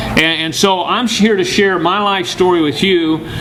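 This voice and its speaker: With an American accent, a man speaks with ordinary pitch variation. Audible room echo and noticeable background noise are present. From US Midwest, Bloomington, Illinois. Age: 60s. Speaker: motivational speaker. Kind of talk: motivational talk. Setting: room with audience.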